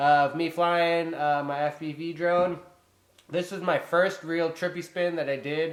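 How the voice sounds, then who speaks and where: A loud man's voice at a fairly high pitch with ordinary pitch variation. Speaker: drone hobbyist vlogger. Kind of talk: casual vlog talk to camera. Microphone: poor built-in camera mic.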